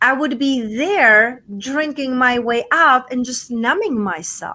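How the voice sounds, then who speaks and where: In a Czech accent, a woman talks very slowly in a high, bright and sharp voice that is raised and projected, with lively intonation. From Czech Republic, small town. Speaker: podcaster and TV show host, coach. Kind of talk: interview.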